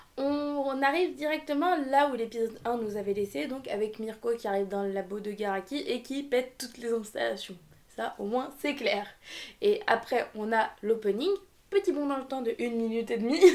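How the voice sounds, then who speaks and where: A high-pitched woman at a moderate pace, animated in tone with lively intonation, on a very clean recording with a silent background. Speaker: anime reviewer youtuber. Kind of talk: casual video review.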